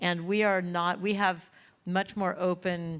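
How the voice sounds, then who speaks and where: Fairly slow, monotone speech from a woman with an American accent, fairly low in pitch and flat in intonation, on a very clean recording with a silent background. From Los Angeles, California. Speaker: panelist on social media. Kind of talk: panel discussion.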